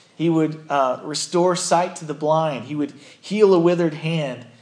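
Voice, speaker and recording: A man's fairly high-pitched, plain, everyday voice at a moderate pace. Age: 30s. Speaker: pastor. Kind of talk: sermon.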